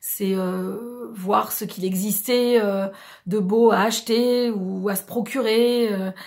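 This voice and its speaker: A woman speaks with fairly even intonation. Her pitch sits fairly high. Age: 40s. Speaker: beauty and lifestyle vlogger. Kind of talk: casual vlog introduction. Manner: hesitant, many fillers.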